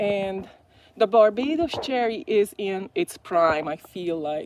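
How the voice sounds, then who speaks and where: A woman with a Hungarian accent, a medium pitch and lively intonation. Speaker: gardening vlogger. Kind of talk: live stream garden tour. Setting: outdoors in garden. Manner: hesitant, many fillers.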